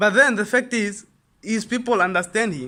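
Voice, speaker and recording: With a raised, projected voice, a man speaks high in pitch, in an animated, bright, sharp tone and with lively intonation. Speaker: online business youtuber. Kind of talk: casual motivational talk to camera. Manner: fast.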